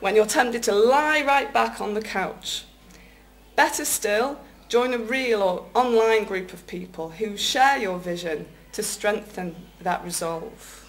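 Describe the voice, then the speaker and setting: Over noticeable background noise, a woman speaks at a fairly slow pace in a fairly high voice. Her intonation is lively, with big swings in loudness. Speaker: public speaking club member. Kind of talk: prepared speech at a speaking club contest.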